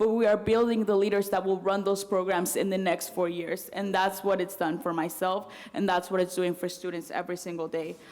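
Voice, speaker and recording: Amid noticeable background noise, a woman with a Spanish accent talks at a fairly quick pace and a medium pitch with fairly even intonation. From Mexico City, then US from age ten. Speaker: student body president. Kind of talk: speech at campus event.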